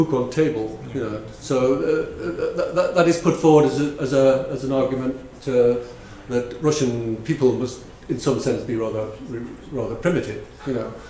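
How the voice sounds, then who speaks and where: Audible room echo and noticeable background noise surround a man speaking at medium pitch and a moderate pace with ordinary pitch variation. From northeast England, North Shields near Newcastle. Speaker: conference speaker on translation. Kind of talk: conference talk. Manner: halting, many fillers and repetitions.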